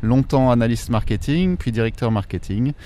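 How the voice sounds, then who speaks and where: A man with a dark, mellow tone and medium pitch speaks at a moderate pace. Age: 40s. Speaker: career changer, future bike repairer. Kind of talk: interview. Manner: halting, many fillers.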